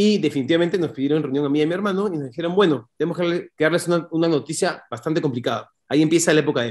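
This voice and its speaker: Over a quiet background, a man talks at a very fast pace in a high-pitched voice. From Peru, Lima; Peru. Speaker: entrepreneur, company owner; interview guest. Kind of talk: interview storytelling. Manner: talkative, fluent. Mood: reflective, earnest. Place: home room. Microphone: video call.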